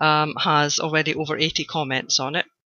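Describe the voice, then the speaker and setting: This is a woman's voice. She speaks with a Scottish accent. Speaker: blogger, online course student. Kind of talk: video testimonial. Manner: hesitant, many fillers.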